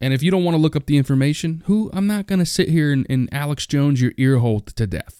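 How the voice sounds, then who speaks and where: A man's fairly high, lively voice at a very fast pace. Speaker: podcast host. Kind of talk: solo rant, casual monologue. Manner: casual, rambling, profane.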